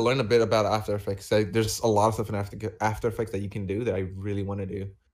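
A man talks at a very fast pace in a fairly low pitch. The recording is very clean, with a silent background. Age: 20s. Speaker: YouTuber and streamer. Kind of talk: casual chat. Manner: halting.

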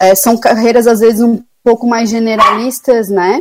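Her voice, fairly high for a woman, rises and falls in an ordinary way. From Brazil, Florianópolis (Santa Catarina). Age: 30s. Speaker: sanitary and environmental engineer. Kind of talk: radio interview. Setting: remote call into radio show.

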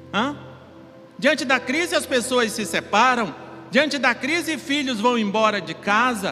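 A man speaks in a raised, projected voice at an extremely high pitch, with ordinary pitch variation and a fairly slow pace. Music plays behind him. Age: 50s. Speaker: pastor. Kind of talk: sermon.

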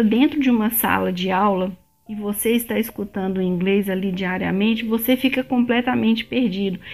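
A woman talks at a fairly quick pace with hardly any pauses, noticeable background noise around her. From Brazil, Belo Horizonte (Minas Gerais). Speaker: immigration vlogger. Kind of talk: casual vlog monologue.

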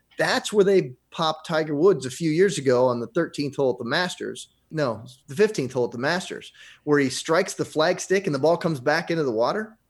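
On a very clean recording with a silent background, an ordinary speaking voice moves at a fairly quick pace with lively intonation. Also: man, fairly high pitch for a man. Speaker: radio host. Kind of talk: casual chat.

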